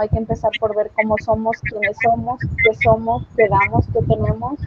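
Noticeable background noise runs under the recording. A woman talks with a fairly high pitch. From Mexico. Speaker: podcast co-host. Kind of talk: casual chat.

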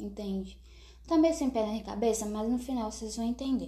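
A high-pitched woman's voice with a dark, mellow tone and fairly even intonation, plus audible room echo. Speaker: podcast host, writer. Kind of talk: casual solo monologue. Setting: at home, not a studio.

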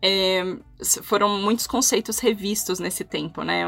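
Her tone bright and sharp, a woman speaks at a medium pitch with fairly even intonation. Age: 30s. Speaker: HR business partner. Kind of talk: casual interview. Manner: halting.

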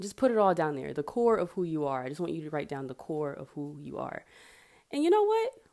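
At a moderate pace, a woman talks with a dark, mellow tone and very deep, low pitch on a very clean recording with a silent background. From US South, Marietta near Atlanta, Georgia. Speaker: podcast host, aspiring life coach. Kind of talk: casual solo monologue; guided reflection activity. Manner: casual, with fillers and laughs.

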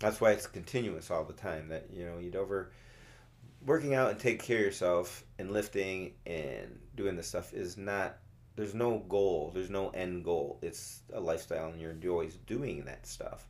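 A plain, everyday voice from a man, fairly low in pitch, with ordinary pitch variation. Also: moderate pace, big swings in loudness. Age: 50s. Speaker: CrossFit coach. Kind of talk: casual chat. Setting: studio. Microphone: new mic, close to it.

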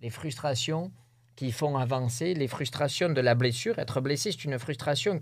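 A man with an ordinary speaking voice talks at a fairly high pitch with ordinary pitch variation, recorded very cleanly against a silent background. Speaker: rodeo bull jumper. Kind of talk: interview. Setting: studio.

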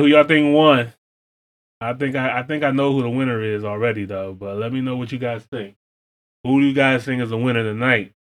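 His pitch is medium and varies an ordinary amount. The man keeps a moderate pace. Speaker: reaction channel host. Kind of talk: casual reaction commentary.

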